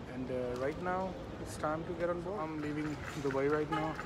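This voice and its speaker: A man talks at a fairly quick pace. Loud background noise runs underneath. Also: dry sound with no echo. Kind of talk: casual vlog chat. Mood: warm, fond. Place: station. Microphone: phone near.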